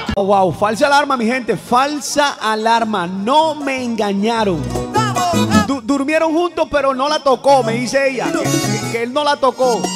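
Clear music behind a man speaking fairly slowly. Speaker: radio-style humor host. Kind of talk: comedic radio monologue. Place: studio. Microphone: studio mic.

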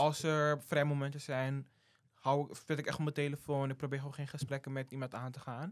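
A man speaks at a moderate pace in an ordinary speaking voice, his pitch fairly high. The recording is very clean, with a silent background. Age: 18. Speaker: student intern. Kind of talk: casual interview.

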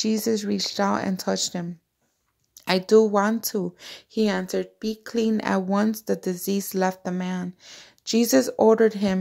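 A woman speaks at a fairly slow pace in a monotone, with flat intonation. The background is quiet. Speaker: devotional vlogger. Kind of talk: scripture reading. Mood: devout, warm. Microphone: phone near.

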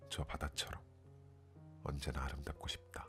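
A man is speaking. Music plays in the background. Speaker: poetry reader, ASMR channel host. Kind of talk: poetry reading, sleep-aid ASMR.

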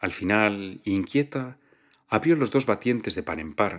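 Over a quiet background, a man talks in a calm tone at a fairly slow pace and fairly low pitch. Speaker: audiobook narrator. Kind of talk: literary audiobook reading. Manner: calm, measured narrator with a fluid, storytelling delivery.

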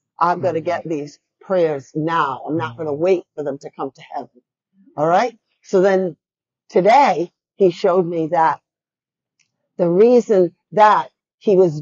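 Long, frequent pauses from a woman with fairly low pitch, ordinary pitch variation, big swings in loudness and a fairly slow pace, over a quiet background. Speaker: speaker. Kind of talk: sermon. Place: church.

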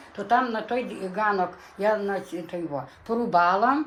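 Noticeable noise sits in the background. The speaker's intonation is lively. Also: woman. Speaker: dialect informant. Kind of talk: oral history interview. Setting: dialect field recording. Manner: halting.

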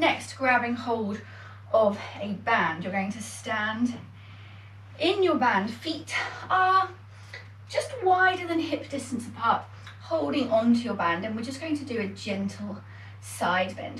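A woman speaks at a fairly slow pace with long, frequent pauses. Audible room echo and light background noise surround her. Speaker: fitness instructor. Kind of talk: exercise class instruction. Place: home room. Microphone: camera far.

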